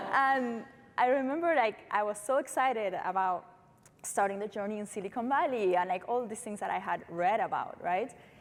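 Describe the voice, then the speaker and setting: Her intonation is lively and her pitch fairly high. This woman keeps a moderate pace. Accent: Uruguayan. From Uruguay. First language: Spanish. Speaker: startup founder. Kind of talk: panel discussion.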